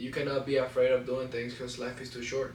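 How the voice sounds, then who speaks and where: Over noticeable background noise and audible room echo, a man with a non-native accent talks at a moderate pace in a medium pitch. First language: Spanish. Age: 20s. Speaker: vlogger. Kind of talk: personal vlog to camera. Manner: halting, stutters.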